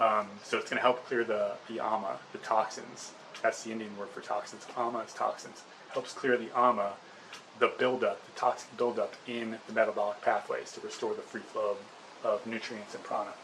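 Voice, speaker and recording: A man's voice rises and falls sharply in loudness against noticeable background noise. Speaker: hair loss herbal remedy video creator. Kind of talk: casual tutorial to camera. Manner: fast; hesitant, many fillers.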